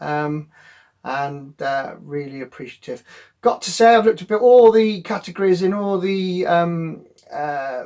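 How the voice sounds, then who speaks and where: A man with a Gloucestershire accent speaks at a fairly slow pace in a high pitch with a dark, mellow tone. His intonation is lively and his loudness swings widely. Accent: broad Gloucestershire. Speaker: photographer, award winner. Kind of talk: acceptance speech. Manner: halting, many fillers.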